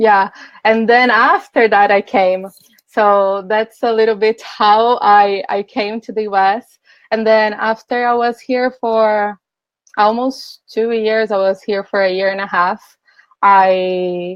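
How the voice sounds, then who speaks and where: A woman talks at a very slow pace. Her intonation stays fairly even. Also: fairly high pitch for a woman. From Brazil. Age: 20s. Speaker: life coach.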